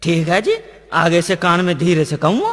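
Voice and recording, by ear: A man uses a put-on character voice, fairly high and fairly bright. His pitch swings very widely. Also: moderate pace.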